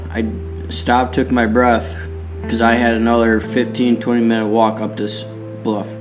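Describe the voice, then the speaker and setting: Clear music plays in the background as the voice moves with ordinary pitch variation. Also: man, moderate pace. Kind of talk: casual storytelling. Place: farm machine. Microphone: camera far.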